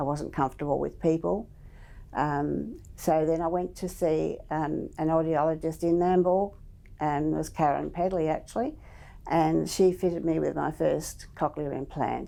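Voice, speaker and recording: A woman talks at a moderate pace in an Australian accent. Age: 70s. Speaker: cochlear implant recipient. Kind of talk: testimony.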